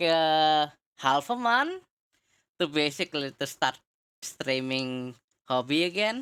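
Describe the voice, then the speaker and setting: A woman with a non-native accent speaks at a fairly slow pace in a fairly low voice, with very wide pitch swings and long, frequent pauses. The recording is very clean, with a silent background. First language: not English. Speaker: streamer and podcast host. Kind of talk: casual chat. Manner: halting.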